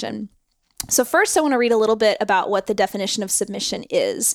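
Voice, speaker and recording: A woman with a normal speaking voice and medium pitch talks at a fairly quick pace on a very clean recording with a silent background. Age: 30s. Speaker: podcast host. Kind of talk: casual chat.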